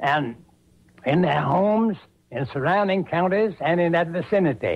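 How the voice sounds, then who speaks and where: A man's high-pitched voice with ordinary pitch variation and very even loudness. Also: moderate pace. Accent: American. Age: 80s+. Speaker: Civil War veteran. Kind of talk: interview answer.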